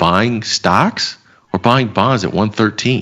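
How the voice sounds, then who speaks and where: Speaking with an American accent, a man keeps his delivery at a moderate pace. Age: 30s. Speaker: financial market commentator. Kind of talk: casual chat. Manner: animated.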